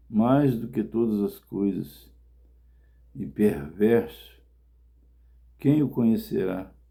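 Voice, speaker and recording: A man's medium-pitched voice with a dark, mellow tone, very wide pitch swings, very slow pace, long, frequent pauses and audible room echo. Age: 60s. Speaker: evangelist preacher. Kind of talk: sermon.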